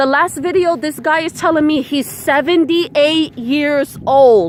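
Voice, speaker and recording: Against noticeable background noise, a woman speaks at a moderate pace, her pitch varying in an ordinary way. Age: 30s. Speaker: spiritual vlogger. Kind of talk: casual vlog monologue. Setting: outdoors at the beach.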